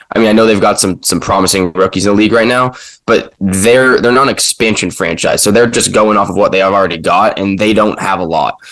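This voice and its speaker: A man's normal speaking voice, fairly low in pitch, at a fairly quick pace with ordinary pitch variation. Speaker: sports podcast co-host. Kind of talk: casual sports talk.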